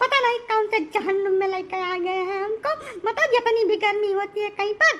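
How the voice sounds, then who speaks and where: Using a cartoonish character voice, a female-sounding speaker talks at a fairly quick pace with an extremely high pitch. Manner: whiny, irritable.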